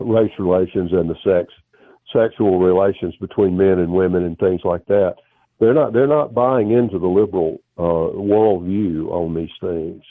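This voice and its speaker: With a Southern US accent, a man with a very deep, low voice speaks at a moderate pace with ordinary pitch variation. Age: 70s. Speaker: historian and former professor. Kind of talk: interview. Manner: halting.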